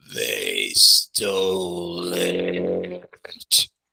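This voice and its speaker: A croaky, put-on character voice. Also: man. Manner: slow.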